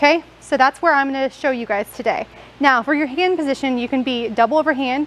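A woman's high-pitched voice at a fairly quick pace, with ordinary pitch variation. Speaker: fitness coach. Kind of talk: tutorial. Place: gym.

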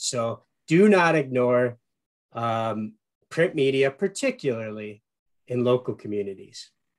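Over a quiet background, a man with an American accent talks at a fairly slow pace with lively intonation. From Upper Peninsula, Michigan; Michigan. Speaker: marketing executive and radio show host; guest. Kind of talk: webinar presentation. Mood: warm, enthusiastic. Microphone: video call.

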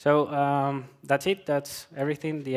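A man speaks with a Colombian accent. The background is quiet. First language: Spanish. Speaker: software developer. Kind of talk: conference talk. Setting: stage with audience. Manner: halting, many filler words. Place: hall.

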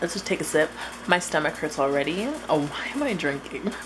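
Faint music plays behind a woman. Her voice is very deep and low. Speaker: vlogger. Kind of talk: casual vlog chat. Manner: drunk, loose and sluggish speech. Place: kitchen. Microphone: phone near.

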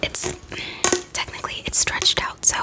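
A soft-spoken woman talks at a moderate pace. Loud background noise runs underneath. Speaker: ASMR content creator. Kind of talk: casual vlog chat. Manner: soft, close-mic ASMR speaking. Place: home room. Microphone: studio mic.

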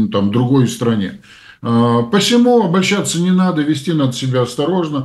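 A man speaks at a moderate pace with lively intonation. Room echo is audible. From Belarus. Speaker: publicist and public figure, co-host. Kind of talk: casual political discussion.

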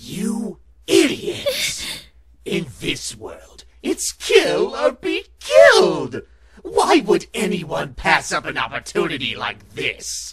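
This put-on character voice is raspy and pitched extremely high. It crawls along at a very slow pace. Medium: fan dub. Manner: menacing, mocking, shouting.

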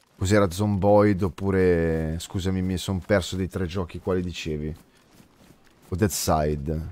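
A man speaks at a fairly slow pace with long, frequent pauses, his very deep, low voice dark and mellow in tone, his intonation fairly even, and the sound dry with no echo. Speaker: game streamer. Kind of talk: casual stream commentary and chat replies. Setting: live stream, gaming. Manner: chatty, informal, swears often. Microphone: studio mic.

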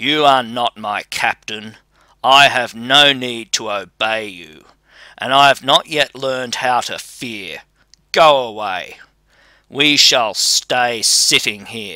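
A man's put-on character voice at medium pitch and a fairly slow pace, on a very clean recording with a silent background. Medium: read story. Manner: bold, fearless, mocking.

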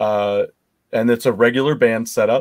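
The setting is quiet. A man speaks at a fairly slow pace. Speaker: show host. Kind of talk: interview conversation. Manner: animated. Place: home room. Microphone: headset.

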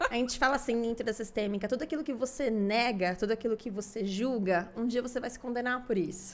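Her fairly high voice races along at a very fast pace with hardly any pauses and ordinary pitch variation. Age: 20s. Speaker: family constellation therapist; podcast guest. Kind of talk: interview. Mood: warm, animated, smiling. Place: studio. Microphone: studio mic.

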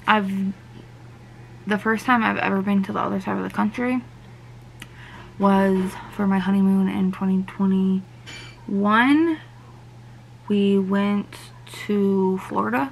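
A woman at medium pitch speaks slowly with vocal fry, fairly even intonation and long, frequent pauses.

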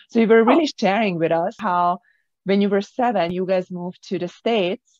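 The sound is dry with no echo as a woman talks with ordinary pitch variation. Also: quiet background. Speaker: podcast host and author. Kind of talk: interview. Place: office. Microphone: video call.

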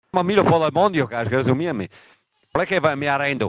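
In an angry tone, a man with a fairly high pitch speaks with lively intonation. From Veneto, Italy. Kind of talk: casual political rant. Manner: angry, heavily profane.

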